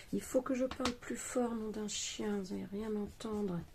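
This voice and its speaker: Quiet, somewhat breathy mumbling with a dark, mellow tone, lively intonation and a fairly slow pace. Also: woman. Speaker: craft youtuber. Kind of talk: craft tutorial. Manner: mumbling, quiet. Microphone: too quiet.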